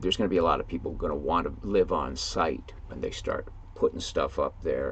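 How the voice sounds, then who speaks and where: At a fairly quick pace, a speaker with an American accent talks over noticeable background noise. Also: man. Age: 70s. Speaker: writer and YouTuber. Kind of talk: casual monologue. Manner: halting, with fillers.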